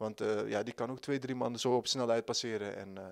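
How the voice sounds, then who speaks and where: Fairly quick, monotone, flat delivery from a man, with a quiet background. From Netherlands (moved there at age nine). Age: 20s. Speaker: football player. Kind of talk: interview. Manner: halting. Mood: calm, content. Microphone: handheld.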